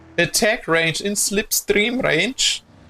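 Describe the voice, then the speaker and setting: Over music in the background, a man speaks at a very slow pace with ordinary pitch variation. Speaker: streamer commentating a sim racing event. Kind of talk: live commentary. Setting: live stream. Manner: animated.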